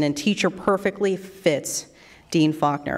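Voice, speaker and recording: The pace is moderate. A woman talks, her pitch shifting in an ordinary way. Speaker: radio news anchor, event emcee. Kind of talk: emceeing a ceremony. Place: hall. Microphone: podium.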